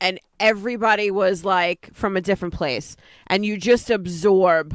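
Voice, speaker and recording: Very slowly, a woman with a slight New York accent speaks at a medium pitch with ordinary variation, in a very clean recording with a silent background. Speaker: online show co-host. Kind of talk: casual chat.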